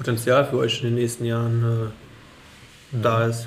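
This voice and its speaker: Medium-pitched male voice at a moderate pace, with audible room echo. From Germany, Rheingau. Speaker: wine podcast host. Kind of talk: casual interview with wine tasting. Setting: at a winery.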